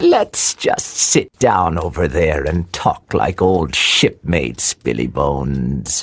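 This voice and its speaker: A put-on character voice, pitched very deep and low, moves at a fairly slow pace with hardly any pauses. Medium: audio drama. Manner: sneering, mock-friendly.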